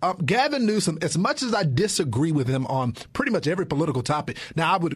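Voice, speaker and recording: Somewhat breathy, a man with an American accent speaks at a very fast pace with very wide pitch swings. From Texas. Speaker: political commentator. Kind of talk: lively debate. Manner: energetic.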